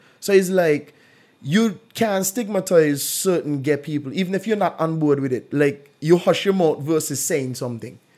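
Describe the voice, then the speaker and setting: An unremarkable speaking voice from a man with a fairly high pitch, moving at a moderate pace with ordinary pitch variation. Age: 30s. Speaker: podcast host. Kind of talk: casual chat.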